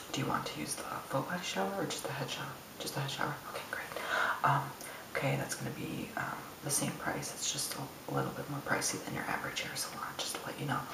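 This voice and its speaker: Loud background noise surrounds a man who speaks at a very fast pace. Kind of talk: ASMR roleplay talk. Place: bathroom. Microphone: phone near.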